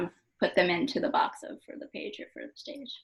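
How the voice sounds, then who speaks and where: Soft-spoken with lively intonation, a woman talks at a moderate pace. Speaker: poet. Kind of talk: interview at book launch. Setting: event with live audience.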